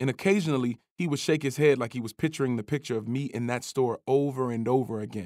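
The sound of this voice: The reading voice is unforced, and its pitch rises and falls in an ordinary way. Little else is heard behind it.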